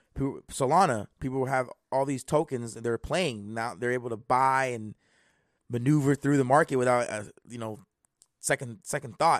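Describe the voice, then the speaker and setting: An ordinary speaking voice with ordinary pitch variation moves at a moderate pace, dry and close with no echo, against a quiet background. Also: man, medium pitch for a man. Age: 20s. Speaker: crypto podcast host. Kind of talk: casual chat. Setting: live stream.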